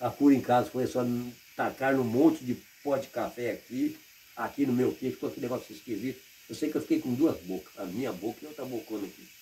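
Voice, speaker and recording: Talking at a very fast pace, a man with a medium pitch shows ordinary pitch variation. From Paraná, Brazil. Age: 60s. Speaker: retired rural worker. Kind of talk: interview.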